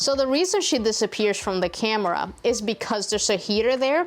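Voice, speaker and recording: A woman's fairly high voice with a Spanish accent, lively intonation and a moderate pace. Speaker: DIY YouTuber. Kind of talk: casual Q&A chat. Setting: cold workshop shed.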